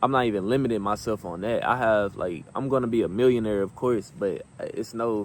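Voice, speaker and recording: In an ordinary speaking voice, the speaker goes at a fairly quick pace with hardly any pauses and ordinary pitch variation. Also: man, medium pitch for a man. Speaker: motivational vlogger. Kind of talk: motivational talk.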